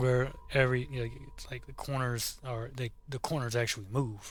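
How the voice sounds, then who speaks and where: A man with fairly even intonation over background music. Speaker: gaming YouTuber. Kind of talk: casual gameplay commentary outro. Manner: halting, repeats words; informal, casual.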